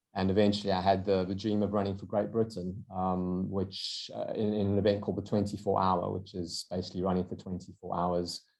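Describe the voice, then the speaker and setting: With a South African accent, a man speaks at a fairly quick pace in a very deep, low pitch, his intonation monotone and flat, hardly pausing at all, over a quiet background. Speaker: endurance runner and entrepreneur. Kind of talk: podcast interview. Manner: hesitant with fillers and repeated words.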